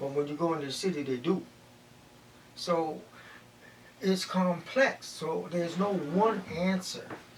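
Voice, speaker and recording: A man with a high pitch speaks at a fairly slow pace with ordinary pitch variation. Long, frequent pauses break up his speech, and background noise is noticeable. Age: old. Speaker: community elder. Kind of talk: interview answer.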